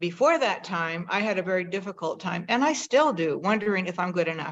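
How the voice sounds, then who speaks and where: A woman with an American accent, medium pitch, a fairly quick pace and an ordinary speaking voice. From Northern California. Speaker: host of a conversation video. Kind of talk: personal storytelling to an audience.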